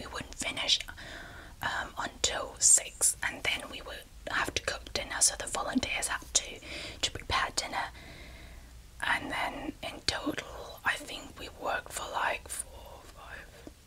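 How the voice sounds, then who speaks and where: Whispering in a relaxed tone, a woman's voice shows big swings in loudness over noticeable background noise. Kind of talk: ASMR storytelling. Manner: soft-spoken, relaxed, conversational.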